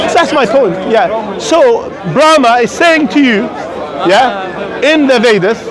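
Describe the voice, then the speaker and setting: A man with an extremely high pitch and lively intonation speaks at a very slow pace with very even loudness, with audible room echo and crowd noise in the background. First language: not English. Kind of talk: street debate. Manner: interrupting, repetitive.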